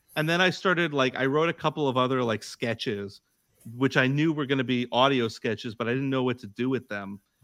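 An American man with a medium pitch and an ordinary speaking voice talks at a fairly quick pace with ordinary pitch variation, the sound dry and close with no echo. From United States. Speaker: comedy podcaster, sketch writer. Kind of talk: casual chat.

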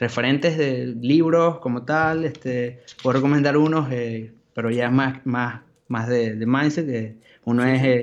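A man speaks at a very slow pace with fairly even intonation. His pitch sits in the medium range. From Venezuela, Maracaibo. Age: 20s. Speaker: graphic designer. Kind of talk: casual interview.

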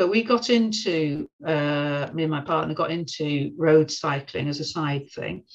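This woman's pitch is very deep and low. She talks at a fairly slow pace with hardly any pauses. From Birmingham, England. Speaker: writer and poet. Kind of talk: podcast interview.

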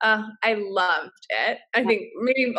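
Her American accent comes with a bright, sharp tone and fairly high pitch. This woman keeps her intonation fairly even. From upstate New York. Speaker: startup founder, meditation advocate. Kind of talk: casual interview chat. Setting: video call. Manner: soft, calm.

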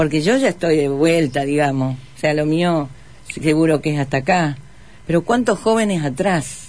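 Against noticeable background noise, a woman speaks at a very deep, low pitch with ordinary pitch variation. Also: moderate pace, very even loudness. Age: 50s. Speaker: political candidate. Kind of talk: radio interview.

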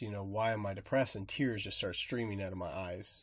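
A man's plain, everyday voice, fairly low in pitch with fairly even intonation and an American accent, in a very clean recording with a silent background. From rural Nebraska. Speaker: podcast co-host. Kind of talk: casual chat.

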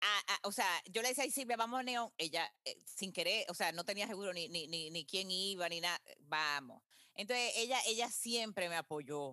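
With a bright, sharp tone, a woman speaks at a moderate pace with lively intonation, in a dry, close sound with no echo. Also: medium pitch for a woman, hardly any pauses. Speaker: marathon runner and marketing executive. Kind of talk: interview.

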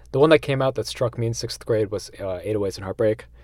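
On a very clean recording with a silent background, a man speaks in a plain, everyday voice with a fairly low pitch. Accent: American. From US Northeast (central Massachusetts). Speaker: music writer and audio producer. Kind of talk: casual interview.

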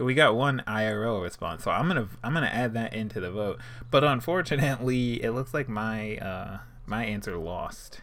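A man talks at a moderate pace in an ordinary speaking voice, medium in pitch with ordinary pitch variation. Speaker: podcast co-host. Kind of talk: casual banter. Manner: laid-back, chatty.

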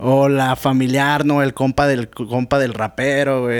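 A man's medium-pitched, monotone, flat delivery in a very clean recording with a silent background. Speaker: rapper and beatmaker. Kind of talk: casual chat.

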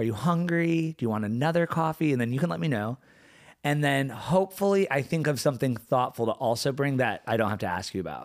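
Fairly high-pitched male voice, fairly quick and lively in intonation, on a very clean recording with a silent background. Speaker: podcast co-host. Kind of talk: casual chat. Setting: co-host's living room. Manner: relaxed.

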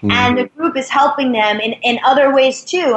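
A woman's ordinary speaking voice with an American accent, fairly quick pace and ordinary pitch variation. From New York City. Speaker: sales and networking expert.

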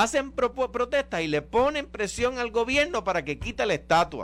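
With lively intonation, a man talks at an extremely high pitch. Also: very clean recording, silent background. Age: 50s. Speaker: radio show panelist. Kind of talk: heated debate.

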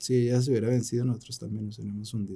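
Somewhat breathy, this man speaks at a medium pitch with fairly even intonation. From Colombia. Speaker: small business development director. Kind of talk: interview.

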